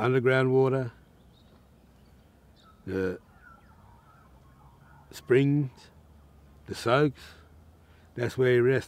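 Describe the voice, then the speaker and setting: Very slow speech from a man, broken by long, frequent pauses. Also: ordinary pitch variation, dry sound with no echo. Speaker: elder storyteller. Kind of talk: traditional storytelling. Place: waterside.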